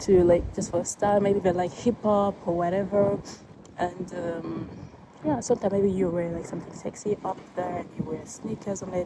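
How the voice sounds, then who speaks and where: A woman with an Ivorian accent at medium pitch, moderate in pace with fairly even intonation, over noticeable background noise. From Ivory Coast. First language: French. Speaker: vlogger. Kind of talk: casual vlog talk. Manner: halting, with many fillers.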